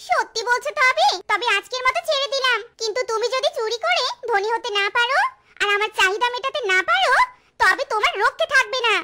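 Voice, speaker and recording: Using a cartoonish character voice, a woman speaks at a moderate pace with an extremely high pitch. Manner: bossy, scolding.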